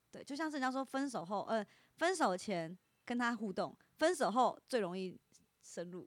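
A woman with a slight Taiwanese accent talks at a moderate pace and a fairly high pitch, with very wide pitch swings, big swings in loudness, and long, frequent pauses. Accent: slight Taiwanese Mandarin. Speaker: internet influencer. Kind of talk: casual chat.

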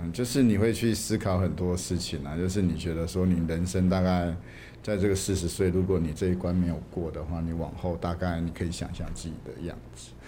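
A man speaks fairly quickly in a very deep, low voice with a dark, mellow, somewhat breathy tone. His pitch varies in an ordinary way, and there is audible room echo. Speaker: film director. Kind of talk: interview.

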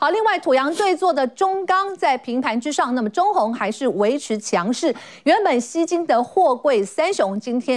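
Pitch swings very wide in this woman's voice. She keeps a moderate pace. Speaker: TV finance show host. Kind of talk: TV talk show with market briefing.

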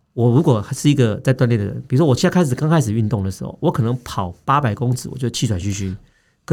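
A man speaks very fast at a medium pitch, his dark, mellow tone carried by lively intonation on a very clean recording with a silent background. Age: 40s. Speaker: doctor, health podcast host. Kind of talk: health education chat.

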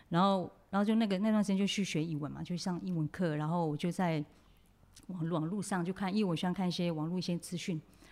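Over a silent background in a very clean recording, a woman speaks very fast in a fairly low voice. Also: fairly even intonation. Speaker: makeup artist and hairstylist. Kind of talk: interview.

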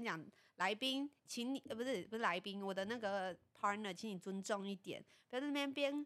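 A woman's fairly high voice races along at a very fast pace, her intonation lively. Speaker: podcast co-host. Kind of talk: casual chat. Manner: animated.

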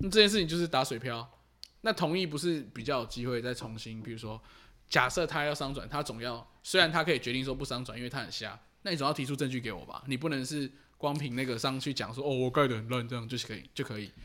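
With a bright, sharp tone, this man rattles along at a very fast pace. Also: medium pitch for a man, ordinary pitch variation. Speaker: podcast co-host. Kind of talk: casual chat about referendums. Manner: casual, mumbled everyday speech.

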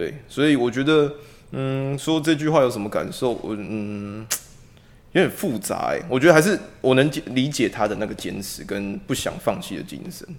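A plain, everyday voice with lively intonation, a moderate pace and big swings in loudness. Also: man, medium pitch for a man. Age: 20s. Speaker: police officer. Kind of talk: casual discussion.

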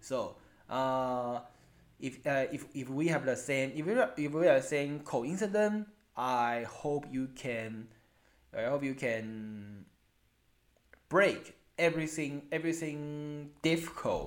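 A very slow pace in a Chinese accent, with long, frequent pauses and ordinary pitch variation. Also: man, fairly high pitch for a man. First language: Mandarin Chinese. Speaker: elementary school English teacher. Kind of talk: interview. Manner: halting.

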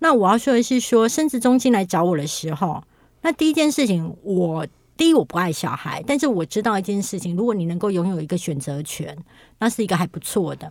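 A woman speaks fairly quickly at a medium pitch, her voice making very wide pitch swings. The recording is very clean, with a silent background. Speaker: writer and internet influencer. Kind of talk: casual interview chat.

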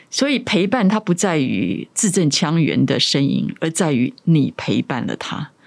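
Speaking at a fairly slow pace with hardly any pauses, a woman uses vocal fry and very wide pitch swings. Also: fairly low pitch for a woman. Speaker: author and former radio host. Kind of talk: interview.

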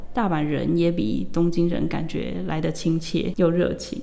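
There is noticeable background noise and audible room echo around a woman's voice. She speaks at a fairly slow pace, her fairly low pitch showing ordinary variation. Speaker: language teacher. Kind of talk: interview.

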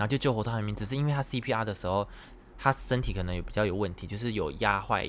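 A man with a fairly low voice speaks at a very fast pace with ordinary pitch variation. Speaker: podcast host. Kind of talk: casual chat.

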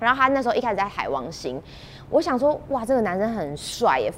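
A woman talks fairly fast, her pitch swinging very widely, with noticeable noise behind her. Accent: Taiwanese. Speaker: TV host and performer. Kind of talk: interview. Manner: clear articulation.

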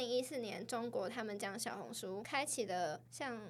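A woman's lively intonation at a fairly slow pace. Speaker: podcast co-host. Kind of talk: casual chat.

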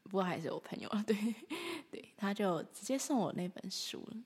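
A woman is speaking here. Her voice has a medium pitch and is somewhat breathy. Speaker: podcast host, artist. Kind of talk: solo monologue with storytelling. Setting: alone at home, early morning.

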